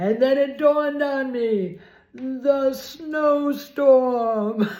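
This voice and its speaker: A woman speaks in a high voice with ordinary pitch variation, and audible room echo surrounds her. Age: 70s. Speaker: video blogger. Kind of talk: casual storytelling vlog. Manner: animated.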